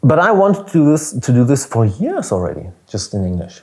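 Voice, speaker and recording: A man's dark, mellow, somewhat breathy voice with a German accent and lively intonation, at a moderate pace, on a very clean recording with a silent background. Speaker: business coach, podcast host. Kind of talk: solo podcast monologue.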